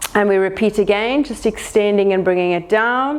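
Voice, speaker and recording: Calm in tone, a woman with a South African accent speaks at a moderate pace. Her pitch is fairly high, with ordinary pitch variation. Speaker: pilates instructor. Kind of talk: exercise class instruction. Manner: calm and encouraging.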